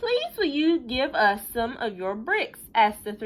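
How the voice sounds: The clip features a natural reading voice.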